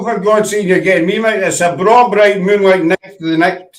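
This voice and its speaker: A man speaks in a high-pitched voice at a moderate pace. His intonation stays fairly even. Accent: Scottish. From Glasgow.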